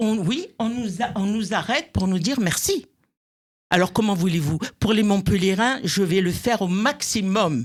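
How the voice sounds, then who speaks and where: In a very clean recording with a silent background, a woman with a medium pitch and a somewhat breathy voice talks at a fairly slow pace in an animated tone with lively intonation. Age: 70s. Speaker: association president. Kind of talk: radio interview.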